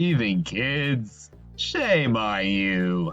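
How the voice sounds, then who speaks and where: Over clear background music, a man at medium pitch performs a put-on character voice. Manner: brash, wisecracking.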